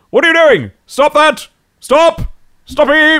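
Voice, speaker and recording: The pitch is high. It is a put-on character voice. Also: fairly slow pace. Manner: villainous.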